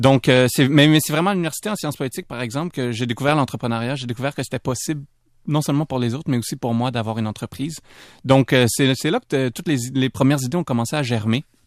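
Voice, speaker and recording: Very fast speech from a man at medium pitch, with ordinary pitch variation, dry and close with no echo, on a very clean recording with a silent background. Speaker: entrepreneur and author. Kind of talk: radio interview. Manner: hesitant, many fillers.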